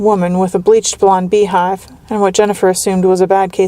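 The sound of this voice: The reading is done in an unforced voice.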